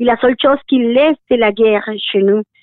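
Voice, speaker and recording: The woman's voice is high-pitched. Its pitch varies in an ordinary way. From Colombia. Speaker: association director. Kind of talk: interview.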